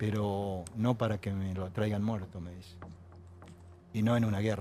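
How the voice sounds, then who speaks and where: This man has a fairly low-pitched voice. His intonation is monotone and flat. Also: moderate pace. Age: 60s. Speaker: war veteran. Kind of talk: TV panel interview. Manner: halting, many fillers.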